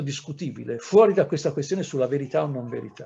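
This man's voice sits at a fairly high pitch with ordinary pitch variation, a dark, mellow tone and vocal fry. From Italy, Livorno; Italy. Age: 60s. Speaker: historian; historian lecturing teachers. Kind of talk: lecture. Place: home room. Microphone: webcam.

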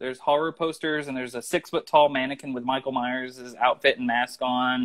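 A man with a Southern US accent against a quiet background. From US Midwest/South, southeast Missouri. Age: 30s. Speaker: screenwriter; interview guest. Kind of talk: casual interview. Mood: friendly, animated. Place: home room. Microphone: video call.

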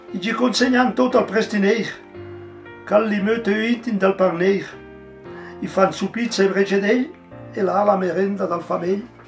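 Faint music plays in the background as a man with a Lombard accent speaks at a high pitch. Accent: Livigno dialect. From Livigno, Italian Alps. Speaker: local elder poet. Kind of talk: poetry reading. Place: home room.

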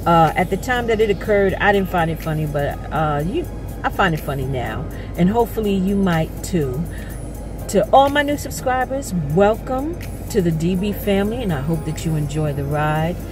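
A woman at a moderate pace, with clear music in the background and a dry sound with no echo. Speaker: vlogger. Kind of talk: casual talk to camera. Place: car. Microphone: phone near.

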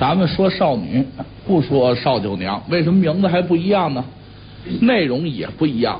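A man at a moderate pace, with very wide pitch swings and light background noise. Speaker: pingshu storyteller. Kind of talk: storyteller opening a classic tale, explaining versions of the story. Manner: soft, murmuring, soothing. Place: studio.

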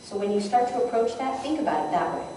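A woman's fairly quick, lively intonation amid strong room echo and light background noise. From New England. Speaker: conference presenter, event sales executive. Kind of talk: conference session talk with audience interaction. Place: hall. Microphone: camera far.

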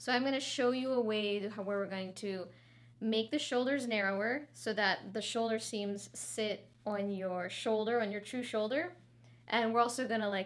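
With ordinary pitch variation, a woman delivers her words at a moderate pace. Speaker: fashion tutor. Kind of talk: tutorial. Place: studio.

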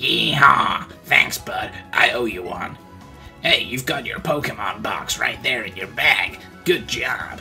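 Over clear music in the background, a man performs a put-on character voice at a fairly slow pace, with big swings in loudness. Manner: friendly, folksy.

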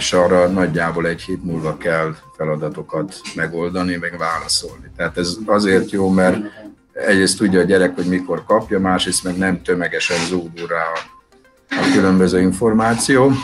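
Over clear music in the background, a man speaks at a moderate pace with a very deep, low pitch and fairly even intonation. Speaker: school teacher. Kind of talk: interview answer. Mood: calm, thoughtful. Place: shop. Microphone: video call.

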